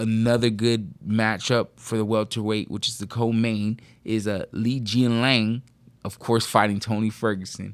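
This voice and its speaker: The recording is very clean with a silent background. A man talks with monotone, flat intonation. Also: medium pitch for a man. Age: 40s. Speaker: co-host. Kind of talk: casual chat. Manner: halting, many fillers.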